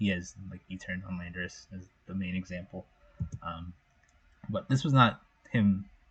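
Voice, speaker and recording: A man talks in a somewhat breathy voice, his pitch varying in an ordinary way. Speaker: competitive video game champion. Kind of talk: casual commentary to camera. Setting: home microphone, low quality. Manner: hesitant, some stuttering.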